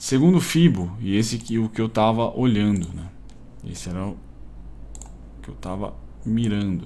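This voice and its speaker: At a moderate pace, a man speaks in a fairly low pitch with ordinary pitch variation. His loudness swings widely, and he takes long, frequent pauses. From Brazil. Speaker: day trader and YouTuber; YouTuber. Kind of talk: live trading commentary. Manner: casual, slangy. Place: home room.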